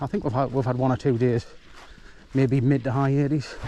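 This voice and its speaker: At a fairly quick pace, a man talks in a monotone, flat intonation at medium pitch. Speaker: vlogger. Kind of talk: casual walking vlog narration. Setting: outdoors. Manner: fast; hesitant, repetitive fillers.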